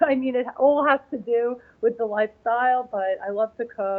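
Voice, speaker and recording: In a New York accent, a woman speaks at a fairly slow pace. Her pitch varies in an ordinary way. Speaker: figure bodybuilding competitor. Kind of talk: interview. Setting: live event in New York. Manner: halting, many fillers.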